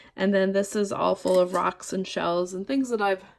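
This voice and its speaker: A woman talks at a moderate pace and medium pitch in an ordinary speaking voice. The recording is very clean, with a silent background. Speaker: witchcraft practitioner, tarot reader. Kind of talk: casual talk to camera, altar tour. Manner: casual, chatty, humorous.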